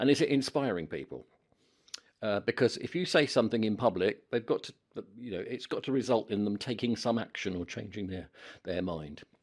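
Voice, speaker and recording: This man's voice has vocal fry. He speaks at a fairly quick pace. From London. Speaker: media and presentation trainer. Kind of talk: casual talk to camera. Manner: chatty.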